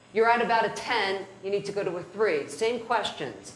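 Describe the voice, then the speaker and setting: Over noticeable background noise and audible room echo, a woman with an American accent speaks at a fairly quick pace, her fairly high pitch showing ordinary pitch variation. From New Jersey (North Jersey). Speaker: criminal defense lawyer, trainer. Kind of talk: lecture.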